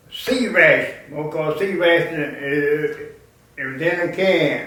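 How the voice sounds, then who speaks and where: A man with an American accent speaks fairly slowly at a high pitch. His pitch varies in an ordinary way, with noticeable background noise behind him. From Grant County, Indiana, USA. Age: 80s+. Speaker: war veteran and funeral director. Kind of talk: interview answer.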